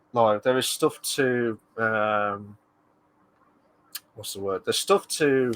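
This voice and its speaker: Fairly slow speech comes in a British accent. The intonation stays fairly even. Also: man. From UK. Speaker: streamer. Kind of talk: casual chat. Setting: live stream.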